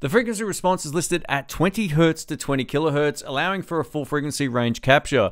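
A man speaks at a very fast pace with lively intonation. The background is quiet. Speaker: tech reviewer. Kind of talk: product review. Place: home room. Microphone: studio mic.

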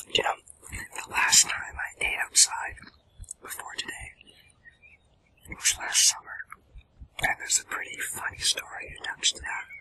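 Soft-spoken, a man whispers. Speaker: food vlogger. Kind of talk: casual vlog chat. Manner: soft close ASMR whisper. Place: forest.

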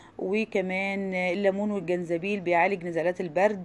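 This woman speaks at a moderate pace with a medium pitch. Her intonation is monotone and flat. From Egypt. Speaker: cooking YouTuber. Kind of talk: informational talk.

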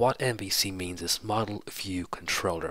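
At a moderate pace, a man speaks in a low voice with ordinary pitch variation. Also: fairly bright tone.

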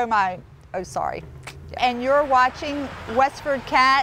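A woman speaks in a raised, projected voice at a high pitch with lively intonation. She goes at a very slow pace, the sound dry with no echo and light background noise. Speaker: station ID presenter. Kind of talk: TV station ID read, blooper takes. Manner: casual, laughing at flubs. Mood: laughing, flustered. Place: street. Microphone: lapel.

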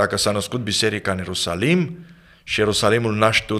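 The man's pitch is fairly low. He speaks at a moderate pace. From Romania, Galați (south-east); Romania. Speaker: pastor and author; pastor. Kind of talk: interview on leadership. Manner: formal. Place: studio. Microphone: studio mic.

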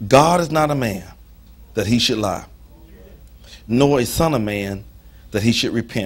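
At a moderate pace, a man talks in an animated tone with ordinary pitch variation. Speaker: preacher. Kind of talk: sermon. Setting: church. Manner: animated, call-and-response style, preaching with humor and emphasis. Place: church.

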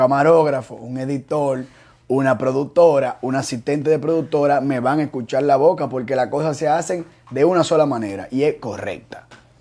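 In a dark, mellow tone, a man speaks at a moderate pace. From Dominican Republic. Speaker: show creator and youtuber; show creator, youtuber. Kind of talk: casual interview. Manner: animated. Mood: relaxed, joking. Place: studio. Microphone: lapel.

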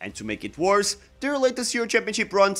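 A man talks at a fairly quick pace in a raised, projected voice. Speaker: football channel host. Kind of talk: commentary. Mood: wry, critical. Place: home room. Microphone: studio mic.

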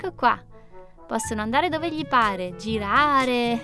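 A woman talks in a high voice. The sound is dry with no echo, and music is clearly heard in the background. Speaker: presenter. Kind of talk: children's toy demo chat.

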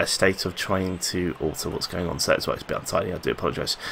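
There is light background noise as a man talks with a London accent. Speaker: gaming youtuber; gaming video creator. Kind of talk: gameplay commentary. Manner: halting. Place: home room. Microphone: headset.

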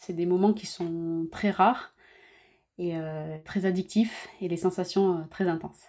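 In a fairly low, dark and mellow voice, a woman speaks very slowly with monotone, flat intonation. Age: 30s. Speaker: professional surfer. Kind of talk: scripted narration. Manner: hesitant with fillers.

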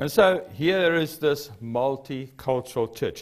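A man speaks very slowly with a South African accent. His pitch is fairly high, and the background is quiet. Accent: Afrikaans South African English. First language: Afrikaans. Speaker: preacher. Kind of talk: sermon. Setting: church. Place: church.

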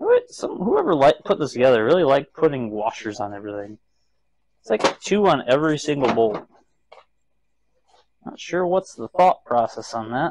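At a moderate pace with long, frequent pauses, a man speaks in a dry sound with no echo over light background noise. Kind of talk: casual working commentary. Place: garage. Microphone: camera far.

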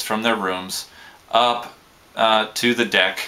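The intonation of this man's speech stays fairly even. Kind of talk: casual vlog chat. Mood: relaxed, lightly amused. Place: home room. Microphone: webcam.

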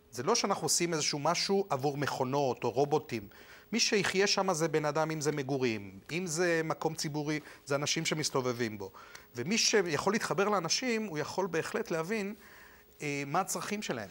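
Lively intonation marks a man's fairly high voice at a moderate pace. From Argentina, moved to Israel at 15. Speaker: architect; interviewee. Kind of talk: TV interview. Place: studio. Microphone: lapel.

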